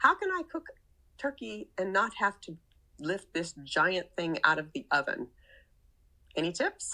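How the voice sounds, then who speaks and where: A woman speaks at a fairly slow pace. Long pauses come often. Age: 60s. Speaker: caller leaving voicemail, grandmother. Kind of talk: voicemail question.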